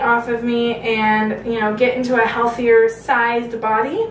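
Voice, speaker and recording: In an American accent, a woman speaks at a high pitch, with audible room echo around her. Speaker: video blogger. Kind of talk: casual vlog update.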